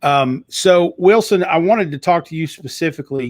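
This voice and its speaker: A man with a Southern US accent at a fairly quick pace, on a very clean recording with a silent background. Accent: Southern US twang. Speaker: talk show host and author. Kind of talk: live talk show. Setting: live video stream. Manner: animated.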